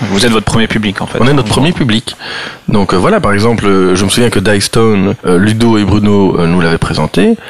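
A man talks at a fairly quick pace in a fairly low voice, with ordinary pitch variation. His loudness stays very even, and there is noticeable background noise. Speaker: board game publisher. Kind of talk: casual chat.

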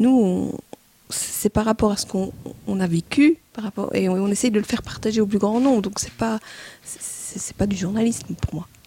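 A woman talks at a moderate pace in a medium pitch. Hers is a normal speaking voice with ordinary pitch variation. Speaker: board game reviewer. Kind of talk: casual chat.

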